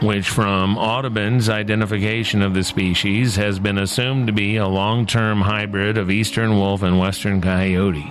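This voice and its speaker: A man with a fairly low pitch talks in a monotone, flat delivery with very even loudness and hardly any pauses, amid noticeable background noise and audible room echo. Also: moderate pace. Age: middle-aged. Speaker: radio host. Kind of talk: scripted narration.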